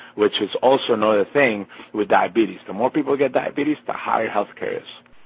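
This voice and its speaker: A man with an American accent, an unremarkable speaking voice, medium pitch and a moderate pace. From Colombia, raised in the US. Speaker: chef and cookbook author. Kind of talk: interview. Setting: remote call from a basement. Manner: frequent fillers and repetitions.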